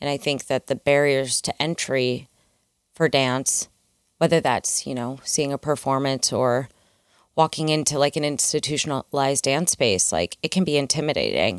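A woman's very deep, low voice in a Midwestern American accent, at a moderate pace with ordinary pitch variation, dry and close with no echo, on a very clean recording with a silent background. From US Midwest. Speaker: dancer and choreographer. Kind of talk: interview conversation. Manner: animated.

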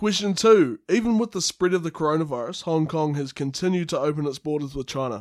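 A man with a New Zealand accent talks very fast, with hardly any pauses and lively intonation. His pitch is fairly high, and the sound is dry and close with no echo. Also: very clean recording, silent background. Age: 20s. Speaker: student and podcast co-host, former radio worker. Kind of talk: casual chat; reading aloud.

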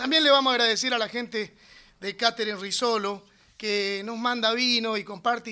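The voice is raised and projected, with a bright, sharp tone. It moves at a moderate pace on a very clean recording with a silent background. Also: man. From Entre Ríos, Argentina (Mocoretá). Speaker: radio host. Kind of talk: live radio chat. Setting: radio studio.

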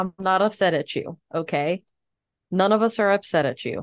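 A woman uses a normal speaking voice at a medium pitch with ordinary pitch variation. Her pace is moderate, and the sound is dry and close with no echo. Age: 30s. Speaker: podcast co-host. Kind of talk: casual chat.

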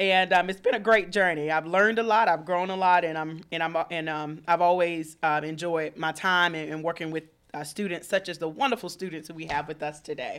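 Speaking at a fairly quick pace with hardly any pauses, a woman with a fairly low pitch and a Southern US accent comes through on a very clean recording with a silent background. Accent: Southern US (Georgia). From Georgia, Thomaston (US South). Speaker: university student affairs staff. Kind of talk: radio interview. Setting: radio studio. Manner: animated.

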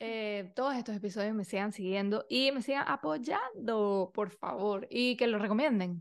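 Hardly pausing, a woman talks at a fairly slow pace in a fairly high pitch with ordinary pitch variation. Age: 30s. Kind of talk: casual monologue. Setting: video recording. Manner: animated.

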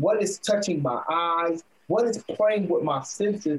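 The man takes things fairly slowly, and his pitch varies in an ordinary way. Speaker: gym owner and entrepreneur. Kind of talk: interview. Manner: loud; animated.

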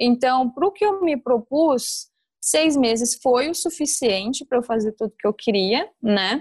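A woman's high voice in an interior São Paulo accent, fairly slow and lively in intonation, with very even loudness and a dry, close sound with no echo. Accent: caipira interior São Paulo. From interior of São Paulo state, Brazil (Batatais). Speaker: former exchange student. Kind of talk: casual interview.

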